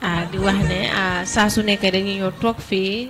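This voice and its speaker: There is noticeable background noise behind a woman speaking. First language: Wolof. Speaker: podcast co-host. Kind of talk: closing remarks. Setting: studio.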